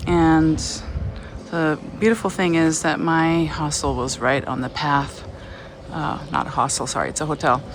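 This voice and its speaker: Over noticeable background noise, a woman talks at a fairly slow pace with a very deep, low pitch and fairly even intonation. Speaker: travel vlogger. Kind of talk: walking vlog. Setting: outdoors walking.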